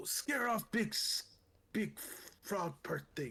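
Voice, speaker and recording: Someone puts on a raspy character voice and talks at a fairly slow pace. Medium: actual play. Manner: halting, simple broken phrasing.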